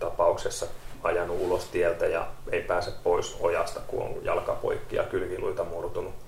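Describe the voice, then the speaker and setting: Amid noticeable background noise and audible room echo, a man speaks at an extremely high pitch and a moderate pace, with ordinary pitch variation. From Kerava, Helsinki metropolitan area, Finland. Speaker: paramedic. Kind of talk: casual chat.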